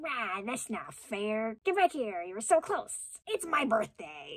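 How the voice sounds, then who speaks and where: A put-on, squeaky, female-sounding character voice sits at a fairly high pitch. It moves at a fairly slow pace with very wide pitch swings. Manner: whining, complaining.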